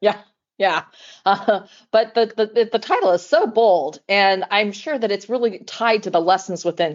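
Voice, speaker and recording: An unremarkable speaking voice from a woman, medium in pitch with ordinary variation, at a moderate pace. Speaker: podcast host. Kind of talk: interview conversation.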